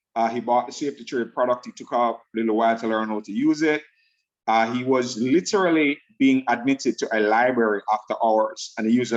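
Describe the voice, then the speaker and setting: With a Jamaican accent, a man speaks at a fairly quick pace and a medium pitch. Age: 50s. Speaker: network marketing presenter. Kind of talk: sales pitch.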